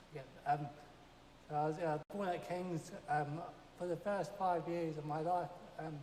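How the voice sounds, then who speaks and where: Quiet and monotone with flat intonation, the voice moves at a fairly slow pace with long, frequent pauses over noticeable background noise. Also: man, high pitch for a man. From South East London, then Jordan. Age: 20s. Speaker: church member. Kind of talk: testimony. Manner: quiet, halting.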